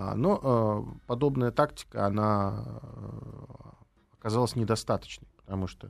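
A man's fairly low-pitched voice. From Latvia, Riga. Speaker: political scientist and former diplomat. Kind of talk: interview.

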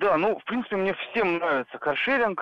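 A man is speaking here. His intonation is lively. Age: 30s. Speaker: radio caller. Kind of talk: phone-in call. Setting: phone call.

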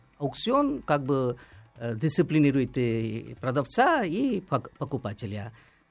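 Music plays in the background as a man speaks at a very slow pace. His pitch is fairly high and his intonation lively. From India. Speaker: tea expert. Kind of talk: radio interview. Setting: radio studio.

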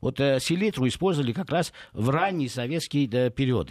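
In a very clean recording with a silent background, a man with a fairly high pitch talks at a moderate pace with lively intonation. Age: 50s. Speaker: food industry expert. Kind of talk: radio interview. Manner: hesitant, many filler sounds.

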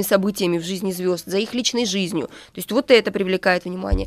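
Music plays in the background while a woman talks at a very fast pace. Her pitch variation is ordinary. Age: 30s. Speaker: author and social media marketing agency co-founder. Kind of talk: radio interview. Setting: radio studio.

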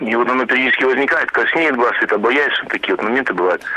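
Amid noticeable background noise, a man talks at a very fast pace with ordinary pitch variation. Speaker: caller. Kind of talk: call-in question. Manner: halting, hesitant.

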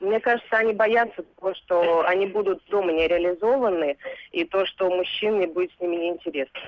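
With an unremarkable speaking voice, a woman talks at medium pitch and a fairly quick pace. Her pitch variation is ordinary, and her loudness very even. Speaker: psychologist. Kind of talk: interview. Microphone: phone line.

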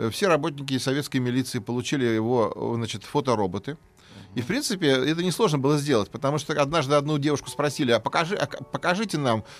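A man talks at a very fast pace. His fairly high voice moves with lively intonation. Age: 50s. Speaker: history professor. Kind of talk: interview. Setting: studio. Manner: hesitant, filler-heavy.

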